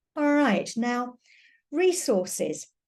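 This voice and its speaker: Speaking with a British accent, a woman has a dark, mellow tone that is somewhat breathy. She goes at a very slow pace with lively intonation. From Britain. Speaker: teacher. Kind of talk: webinar lecture. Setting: online webinar.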